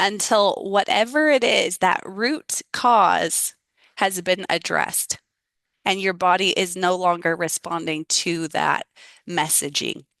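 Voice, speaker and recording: The speech moves at a fairly slow pace with ordinary pitch variation over a quiet background. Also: woman. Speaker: wellness coach. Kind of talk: online workshop presentation. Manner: animated.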